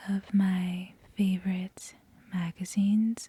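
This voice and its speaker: At a very slow pace, this soft-spoken voice talks on. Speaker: ASMR creator. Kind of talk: casual talk to camera.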